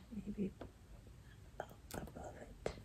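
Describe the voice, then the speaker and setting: At a very slow pace, a woman is whispering. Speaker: ASMR creator. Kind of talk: soft-spoken ASMR puzzle commentary. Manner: soft-spoken, hushed ASMR voice. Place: home room.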